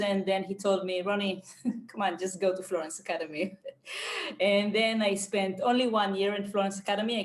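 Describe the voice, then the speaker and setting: Over noticeable background noise, a woman with an Israeli accent talks at a moderate pace and medium pitch. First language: Hebrew. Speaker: painter and art teacher. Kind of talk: podcast interview. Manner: halting, many fillers and repeats.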